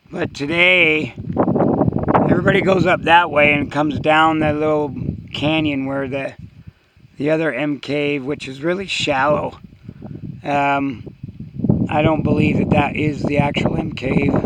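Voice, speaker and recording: The speech moves at a fairly slow pace with fairly even intonation and long, frequent pauses, over noticeable background noise. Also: man, fairly high pitch for a man. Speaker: hiker vlogger. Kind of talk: walking vlog narration. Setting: outdoors. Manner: halting.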